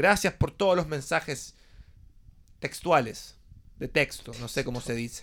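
Speaking with a Chilean accent, a man at a fairly high pitch uses ordinary pitch variation and a fairly slow pace with long, frequent pauses. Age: 20s. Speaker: podcast host. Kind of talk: casual chat.

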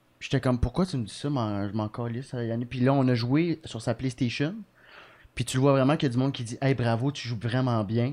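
A man with an unremarkable speaking voice talks at a medium pitch and a fairly quick pace, with ordinary pitch variation, over a quiet background. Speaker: comedian. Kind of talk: casual chat.

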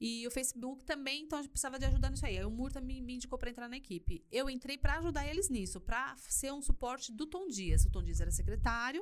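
A woman talks very fast at a high pitch, with hardly any pauses. Her tone is animated. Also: ordinary pitch variation. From Brazil, São Paulo city (Perus). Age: 40s. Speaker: church youth leader and influencer. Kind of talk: casual interview chat. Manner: animated, laughs often.

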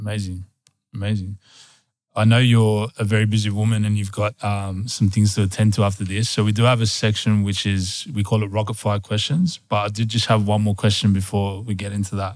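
A man's fairly low, flat, monotone voice with an Australian accent at a fairly quick pace. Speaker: podcast co-host. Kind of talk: interview.

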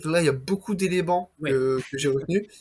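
Speaking at a fairly quick pace, a man with an unremarkable speaking voice and fairly high pitch uses ordinary pitch variation. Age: 20s. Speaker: entrepreneur podcast host. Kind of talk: interview.

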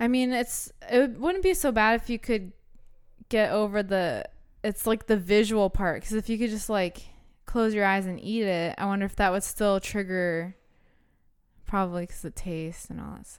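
A woman with a General American accent speaks in an ordinary speaking voice at a moderate pace with ordinary pitch variation. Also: fairly high pitch for a woman. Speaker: podcast host. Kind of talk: casual chat, reading from notes. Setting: studio, recording with microphone.

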